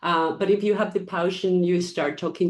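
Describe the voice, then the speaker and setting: Against a quiet background, a woman with a Spanish accent speaks at a moderate pace in a fairly low pitch, with monotone, flat intonation. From Ecuador. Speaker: foundation founder. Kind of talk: interview. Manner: hesitant, many fillers.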